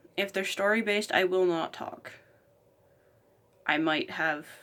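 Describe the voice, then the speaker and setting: With a fairly low pitch and ordinary pitch variation, a woman speaks at a fairly slow pace. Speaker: YouTuber, collector and gamer. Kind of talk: casual vlog.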